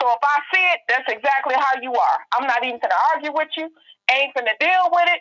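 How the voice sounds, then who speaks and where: In a raised, projected voice, a woman speaks at a high pitch with a bright, sharp tone and lively intonation. Her fairly quick delivery sounds dry and close, with no echo. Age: 50s. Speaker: live stream panelist. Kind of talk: casual chat.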